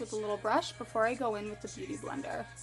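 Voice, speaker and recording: A woman talks with a fairly high pitch. Music can be heard behind her. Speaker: makeup tutorial creator. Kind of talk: casual tutorial talk to camera.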